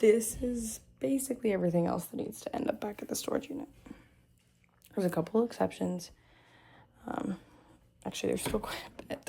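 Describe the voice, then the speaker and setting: Fairly quick but with long, frequent pauses, a woman speaks at a fairly high pitch with a dark, mellow tone, lively intonation and vocal fry. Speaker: vlogger. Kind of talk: casual vlog to camera. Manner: casual, hesitant with fillers.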